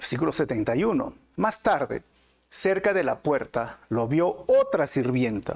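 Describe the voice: At a fairly slow pace, a man speaks at medium pitch with big pitch swings, vocal fry, a slightly mellow tone and a slightly husky edge.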